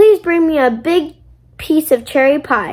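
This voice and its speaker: Someone performs a put-on character voice at a moderate pace, with lively intonation. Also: woman. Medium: read story. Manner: blunt.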